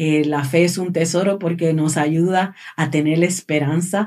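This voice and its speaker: A woman with a plain, everyday voice speaks at a fairly slow pace, her fairly low pitch held in fairly even intonation. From Puerto Rico. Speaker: charity director. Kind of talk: casual chat.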